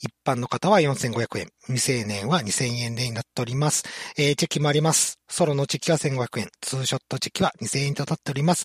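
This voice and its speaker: With a dry, close sound and no echo, a man talks at a fairly quick pace in a somewhat breathy voice, fairly high in pitch with ordinary pitch variation. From regional Japan, outside Tokyo. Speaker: main podcast MC. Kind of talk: casual comedy chat. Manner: laughs often.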